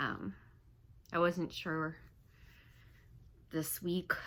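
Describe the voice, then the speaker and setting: Using a very deep, low pitch with vocal fry, a woman with an American accent talks at a very slow pace. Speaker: vlogger, civil engineer. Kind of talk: personal vlog, venting. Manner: halting.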